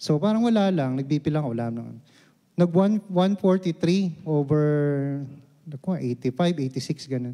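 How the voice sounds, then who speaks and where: A man speaks at a moderate pace. His fairly high voice has a dark, mellow tone. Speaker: lay preacher. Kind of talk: sermon. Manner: halting.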